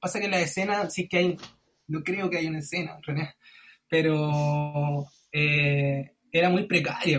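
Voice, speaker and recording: A man with a Chilean accent speaks at a fairly slow pace in a fairly high voice. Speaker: singer-songwriter and music producer. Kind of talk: casual chat.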